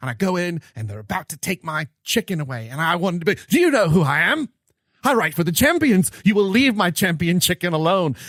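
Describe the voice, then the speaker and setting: A man puts on a character voice with a British accent, pitched high. He talks at a fairly quick pace. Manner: indignant and pompous.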